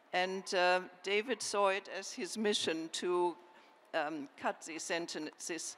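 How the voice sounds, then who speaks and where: At a fairly slow pace, a woman of medium pitch talks with a slight German accent and ordinary pitch variation. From Germany. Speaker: historian and author. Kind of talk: panel discussion.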